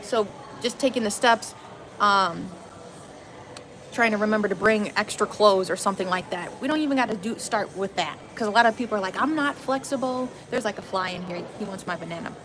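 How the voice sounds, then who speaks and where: A woman's fairly high voice with an American accent, ordinary pitch variation, and noticeable background noise. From Wisconsin, suburbs. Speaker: yoga teacher and vlogger. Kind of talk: casual vlog monologue. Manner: casual, chatty.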